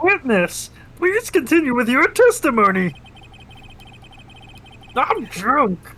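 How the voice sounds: A put-on character voice, high-pitched with very wide pitch swings, at a fairly slow pace with long, frequent pauses, over light background noise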